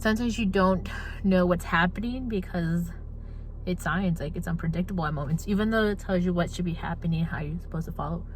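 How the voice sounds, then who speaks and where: A woman with a fairly low pitch talks at a very fast pace and with ordinary pitch variation. Her voice carries audible room echo and noticeable background noise. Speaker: college student vlogger. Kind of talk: casual vlog. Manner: animated.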